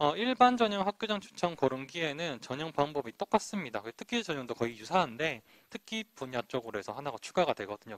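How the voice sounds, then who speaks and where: Fairly high and fairly quick, a man's voice moves through very wide pitch swings in a dry, close sound with no echo. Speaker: university admissions officer. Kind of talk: admissions presentation. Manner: fast; slurred articulation.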